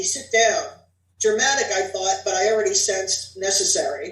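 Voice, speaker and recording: A woman's voice at a moderate pace, with audible room echo. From New Jersey. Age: 60s. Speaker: author. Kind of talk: reading aloud.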